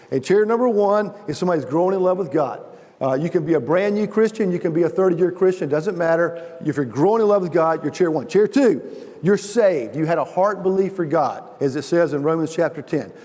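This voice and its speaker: Noticeable background noise sits behind a man speaking at a fairly quick pace. His pitch is high, with ordinary variation. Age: 60s. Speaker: chapel speaker. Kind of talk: sermon. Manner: halting.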